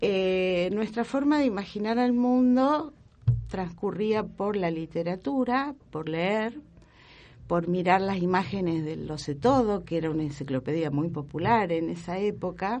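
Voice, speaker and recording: A woman's medium-pitched voice, an ordinary speaking voice, at a fairly slow pace with lively intonation. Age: 60s. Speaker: historian and professor. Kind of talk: interview.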